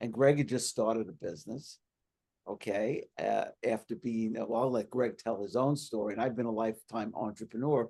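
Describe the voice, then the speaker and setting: A man talks at a medium pitch and a moderate pace. His tone is dark and mellow, with ordinary pitch variation. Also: quiet background. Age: 60s. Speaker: podcast host, entrepreneur. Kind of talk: interview.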